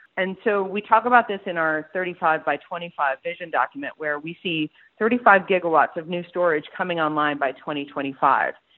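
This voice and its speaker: With an American accent, a woman speaks at a moderate pace in a fairly low pitch with lively intonation. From US Midwest (Columbus, Ohio). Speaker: trade association CEO, engineer. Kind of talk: interview.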